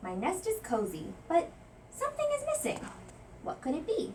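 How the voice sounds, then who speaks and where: Putting on a squeaky character voice at an extremely high pitch, a woman speaks at a moderate pace over clear background noise. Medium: read story.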